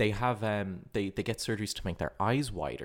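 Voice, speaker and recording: The pitch varies in an ordinary way. The recording is very clean, with nothing in the background. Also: man. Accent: Irish. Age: 20s. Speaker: politics student and watchmaker. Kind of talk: casual chat. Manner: halting, repeats words.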